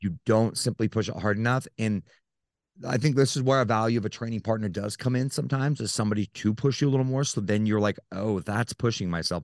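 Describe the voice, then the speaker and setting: Heard dry and close with no echo, a man with an American accent speaks at a very fast pace. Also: medium pitch for a man, ordinary pitch variation. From Utah, US. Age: 30s. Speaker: nutrition coach and bodybuilder. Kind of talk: casual interview.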